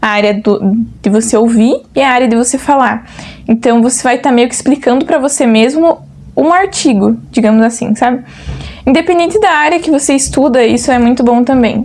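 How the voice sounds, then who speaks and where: A woman's high-pitched voice at a moderate pace, with ordinary pitch variation, very even loudness and noticeable background noise. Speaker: agronomy student vlogger. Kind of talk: casual vlog chat.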